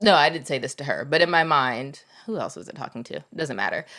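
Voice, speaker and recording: Recorded very cleanly against a silent background, a woman with an unremarkable speaking voice talks at a fairly low pitch with lively intonation. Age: 30s. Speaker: podcast co-host. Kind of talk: casual chat.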